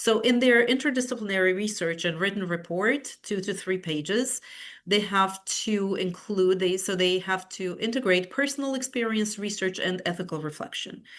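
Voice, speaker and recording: A woman with a Romanian accent speaks at medium pitch and a moderate pace, with ordinary pitch variation and hardly any pauses, against a quiet background. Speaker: university professor. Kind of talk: webinar presentation. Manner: halting, many fillers and repetitions.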